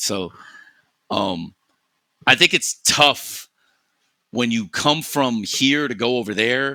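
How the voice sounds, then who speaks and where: Recorded very clean with a silent background, a man with a New York accent speaks at medium pitch, his tone bright and sharp and his intonation lively. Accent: New York American English. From US Northeast, New York City. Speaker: esports podcast host, Valorant coach. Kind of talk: casual chat. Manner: fast, animated.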